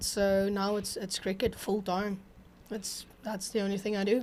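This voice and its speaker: On a very clean recording with a silent background, a woman speaks at a medium pitch and fairly slow pace in monotone, flat intonation. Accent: South African. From South Africa, Pretoria. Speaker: women's cricket captain and youth coach. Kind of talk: casual interview. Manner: hesitant, many ums.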